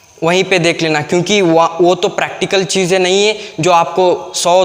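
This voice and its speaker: Over noticeable background noise, a man with a Kannada accent speaks at a high pitch in a monotone, flat intonation. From Karnataka, India. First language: Kannada (speaking Hindi). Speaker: YouTube English teacher. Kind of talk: tutorial. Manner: halting, many fillers.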